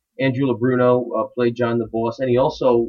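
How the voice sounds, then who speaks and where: At a medium pitch and a moderate pace, a man talks in an ordinary speaking voice. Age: 40s. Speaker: filmmaker and musician. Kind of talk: casual chat. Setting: home studio.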